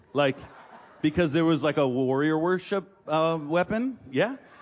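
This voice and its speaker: A man talks with an American accent at a moderate pace. His tone is animated and his intonation lively. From Massachusetts, Gloucester north of Boston. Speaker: traveling preacher. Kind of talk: sermon. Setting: stage with audience.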